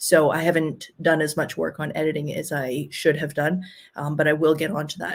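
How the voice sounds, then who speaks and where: A woman's very deep, low voice, flat and monotone, at a moderate pace on a very clean recording with a silent background. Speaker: travel vlogger. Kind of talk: livestream Q&A. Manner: hesitant, many fillers.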